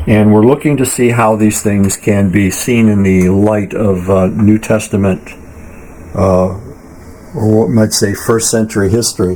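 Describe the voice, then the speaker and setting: Against noticeable background noise, a man speaks at a fairly low pitch with monotone, flat intonation. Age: 70s. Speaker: podcast host and author. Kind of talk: bible study teaching. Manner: halting, many fillers and restarts.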